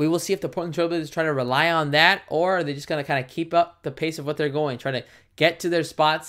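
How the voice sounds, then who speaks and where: At a fairly quick pace, the speech comes through on a very clean recording with a silent background. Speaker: YouTube play-by-play commentator. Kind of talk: live commentary. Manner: casual, chatty with viewers; stumbling over words.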